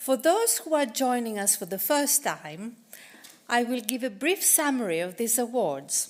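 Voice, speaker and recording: A woman talks at a fairly slow pace with a high pitch and very wide pitch swings. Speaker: awards event presenter. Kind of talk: formal welcome speech. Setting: live hybrid event, library learning centre, audience. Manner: formal.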